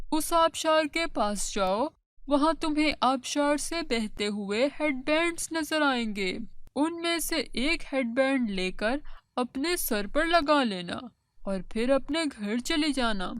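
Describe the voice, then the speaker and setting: A cartoonish character voice, female-sounding and high-pitched, at a fairly slow pace. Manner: gentle, kindly.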